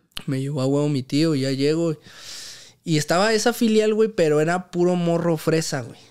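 Over a quiet background, a man speaks at a moderate pace, his pitch fairly high and its variation ordinary. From Mexico City, Santa Fe; Mexico City. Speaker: professional footballer; podcast guest. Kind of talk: casual chat. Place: home room. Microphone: studio mic.

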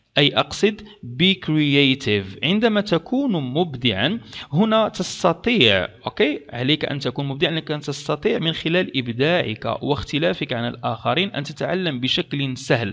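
With vocal fry and very wide pitch swings, a man speaks at a fairly slow pace with hardly any pauses. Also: fairly high pitch for a man. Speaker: English language teacher, YouTuber. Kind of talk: tutorial.

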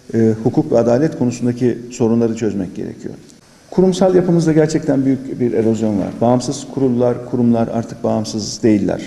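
Fairly quick in pace, a man talks with ordinary pitch variation. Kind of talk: press statement. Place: meeting room. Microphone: podium.

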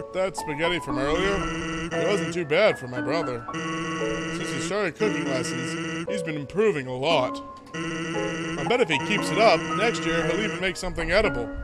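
A man does a put-on character voice with a fairly high pitch at a moderate pace. Loud music plays in the background.

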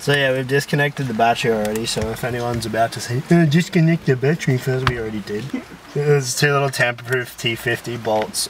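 Over noticeable background noise, a man talks at a fairly quick pace with ordinary pitch variation in a dry sound with no echo. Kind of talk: casual vlog chat. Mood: nervous, laughing. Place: car. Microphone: camera far.

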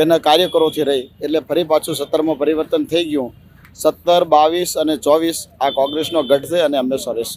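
This man has a fairly high pitch. His intonation stays monotone and flat. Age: young. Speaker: voter interviewed on the street. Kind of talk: street interview.

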